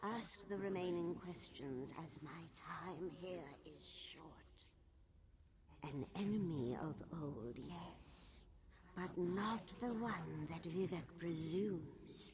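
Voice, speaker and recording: A put-on character voice at a middle pitch speaks at a very slow pace against clear background noise. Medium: video game. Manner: regal, aloof.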